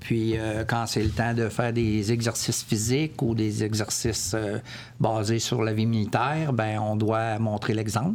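At a fairly slow pace, a man speaks with medium pitch, monotone, flat intonation and very even loudness. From Quebec City. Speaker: military veteran. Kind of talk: testimony. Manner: halting.

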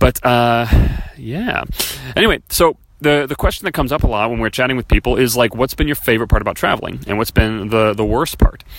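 A man at medium pitch talks very fast with ordinary pitch variation, and there is noticeable background noise. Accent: American. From US Midwest, Chicago area. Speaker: podcast host, network marketer. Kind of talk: casual solo monologue. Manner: casual, with many fillers.

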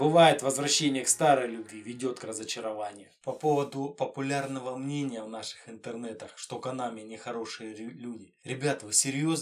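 A man's ordinary speaking voice at a moderate pace, with hardly any pauses, fairly even intonation and big swings in loudness. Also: medium pitch for a man. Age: 30s. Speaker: retro gaming podcaster. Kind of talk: monologue. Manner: casual.

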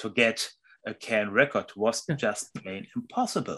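Speaking at a fairly slow pace, a man with a German accent has a medium pitch and a bright, sharp tone. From Germany, Hamburg. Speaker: music journalist and author. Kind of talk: interview. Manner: halting.

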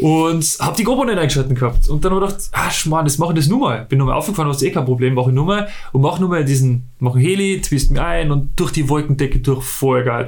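Barely pausing, a man talks at a very fast pace in a fairly high pitch with ordinary pitch variation, and audible room echo surrounds him. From Austria, Salzburg. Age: 30s. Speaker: paraglider pilot. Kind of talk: interview. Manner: halting.

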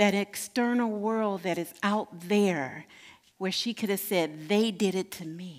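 Speaking at a fairly slow pace, a woman uses medium pitch with ordinary pitch variation in an unremarkable speaking voice. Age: 60s. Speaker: minister. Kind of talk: sermon.

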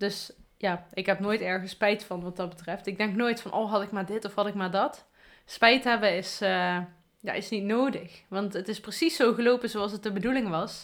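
A woman at a medium pitch in a normal speaking voice, with a moderate pace, fairly even intonation and a very clean recording with a silent background. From Afferden, Limburg, Netherlands. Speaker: podcast host. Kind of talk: casual chat.

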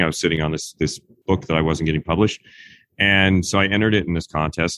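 The man's pitch is very deep and low. He moves at a fairly quick pace, and the sound is dry and close with no echo. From Kansas, US. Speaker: screenwriter and horror novelist. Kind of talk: interview.

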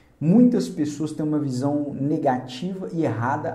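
Audible room echo surrounds a man speaking at a fairly slow pace, his pitch fairly high with ordinary variation. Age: 30s. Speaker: career coach. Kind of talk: motivational video talk.

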